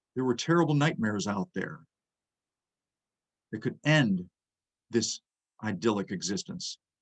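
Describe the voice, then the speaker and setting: An American-accented man at medium pitch and moderate pace, with very wide pitch swings, long, frequent pauses and a dry, close sound with no echo. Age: 60s. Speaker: history lecturer. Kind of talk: lecture.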